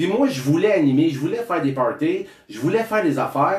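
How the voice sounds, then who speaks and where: A man with a Quebec accent, high pitch, very wide pitch swings, an animated tone and a fairly quick pace. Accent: Québécois French. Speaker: speaker and author. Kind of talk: interview. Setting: studio.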